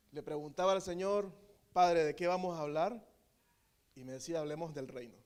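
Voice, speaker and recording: Speaking at a moderate pace with a Nicaraguan accent, this voice has ordinary pitch variation, big jumps in volume and long, frequent pauses. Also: man, high pitch for a man. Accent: Nicaraguan, drops final letters. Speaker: preacher. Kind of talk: sermon.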